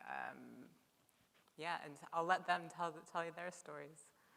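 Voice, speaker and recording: A woman with a fairly low pitch and vocal fry speaks in a bright, sharp tone with monotone, flat intonation and big swings in loudness. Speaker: professional photographer. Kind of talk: panel discussion answer. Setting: live stage with microphone.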